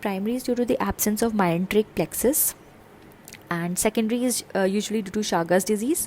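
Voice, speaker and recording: A woman's fairly high, lively intonation at a fairly quick pace, a plain, everyday voice. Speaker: medical exam tutor. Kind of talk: lecture.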